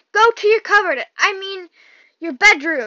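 A woman's put-on character voice, extremely high, wheezy, raised and projected, at a moderate pace. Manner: wheezing.

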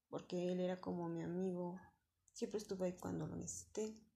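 A woman with a central Mexican accent speaks at a fairly quick pace. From Mexico City. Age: 20s. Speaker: returning adult student. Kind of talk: personal testimony. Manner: halting.

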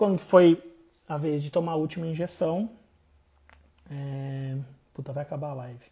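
A man speaks at a moderate pace in a fairly high pitch, his dark, mellow tone somewhat breathy, with fairly even intonation, big swings in loudness, and long, frequent pauses. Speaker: podcast host. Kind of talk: casual personal storytelling monologue. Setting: Instagram live stream.

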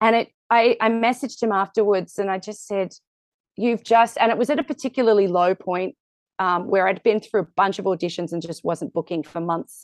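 A woman speaks with an Australian accent at a medium pitch and a moderate pace, her pitch varying in an ordinary way. The sound is dry and close with no echo, over a quiet background. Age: 40s. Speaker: musical theatre actor. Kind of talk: casual interview.

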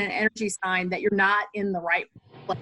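A woman's plain, everyday voice, medium in pitch and fairly quick, with a dry, close sound and no echo. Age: 40s. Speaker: automotive business owner. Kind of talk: casual interview.

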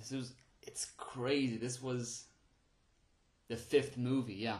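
A man's medium-pitched voice at a fairly slow pace. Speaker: podcast host, movie reviewer. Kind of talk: unscripted solo film review. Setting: home recording on phone and voice recorder. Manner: halting, with frequent fillers and restarts.

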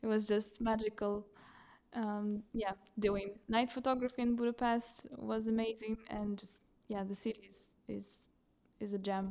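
In a fairly high voice with a dark, mellow tone, a woman speaks in a flat monotone broken by long, frequent pauses. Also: moderate pace. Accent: Russian. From Russia. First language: Russian. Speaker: photographer. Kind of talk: casual chat.

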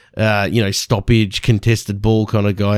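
A man with an Australian accent talks in a fairly low pitch with a dark, mellow tone. The recording is very clean, with a silent background. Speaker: sports podcast host. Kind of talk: solo sports recap. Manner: halting.

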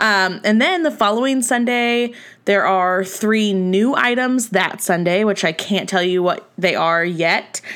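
A woman speaks at a medium pitch and a fairly slow pace, with ordinary pitch variation and very even loudness. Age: 30s. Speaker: podcast host and small business owner. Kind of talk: casual solo podcast monologue. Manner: animated.

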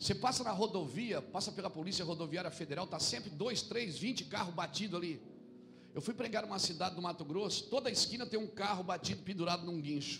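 Noticeable background noise and audible room echo accompany a man talking fairly quickly in a high voice. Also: ordinary pitch variation. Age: 40s. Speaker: pastor. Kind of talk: sermon.

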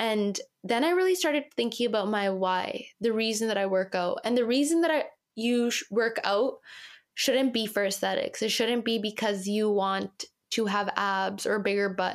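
With a Canadian accent and a plain, everyday voice, a woman talks at a moderate pace in a fairly high pitch, her loudness very even and her pitch varying in an ordinary way, on a very clean recording with a silent background. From Canada. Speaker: model. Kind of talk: interview.

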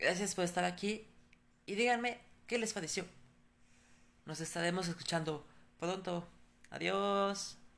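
Speaking at a medium pitch with vocal fry, a woman keeps her intonation fairly even and leaves long, frequent pauses. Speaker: podcast storyteller. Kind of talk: horror story narration, read aloud.

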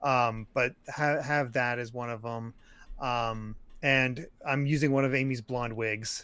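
Using a bright, sharp tone, a man of medium pitch speaks at a fairly slow pace with fairly even intonation. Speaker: podcast co-host. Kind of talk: casual chat.

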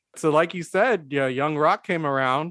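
Fairly high in pitch, a man speaks in an unremarkable speaking voice with fairly even intonation. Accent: American. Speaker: podcast host. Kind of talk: casual chat. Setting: video call.

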